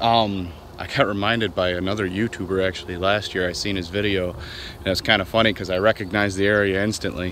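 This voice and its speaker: A man speaks very fast with hardly any pauses, fairly low in pitch with fairly even intonation. The sound is dry with no echo, with light noise behind it. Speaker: fishing vlogger. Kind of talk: casual vlog chat. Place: waterside. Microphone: phone near.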